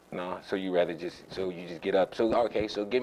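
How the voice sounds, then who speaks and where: This man talks at a fairly quick pace. He has a normal speaking voice with fairly even intonation. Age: 30s. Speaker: youth sports show host. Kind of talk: casual interview.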